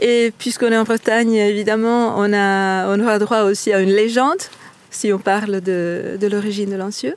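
Against noticeable background noise, a woman at a medium pitch talks at a moderate pace with fairly even intonation and very even loudness. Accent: Italian. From Italy. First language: Italian (speaking French). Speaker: tour guide. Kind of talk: guided tour explanation.

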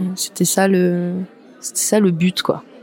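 There is noticeable background noise as a woman talks at a medium pitch. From western France, La Rochelle. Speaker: artist and former stylist. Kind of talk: casual interview.

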